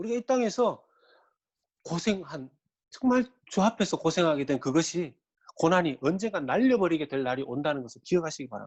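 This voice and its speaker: A high-pitched man at a fairly quick pace, with very wide pitch swings and long, frequent pauses. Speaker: pastor. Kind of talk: sermon. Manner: animated.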